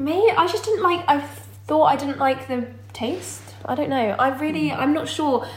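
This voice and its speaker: A woman's high, lively voice at a fairly slow pace, with audible room echo and noticeable background noise. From Dorset, southern England. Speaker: vegan content creator. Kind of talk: casual chat.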